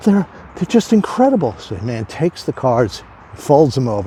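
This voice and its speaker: A man's voice with noticeable background noise. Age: 60s. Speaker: addiction recovery speaker. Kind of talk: casual talk to camera.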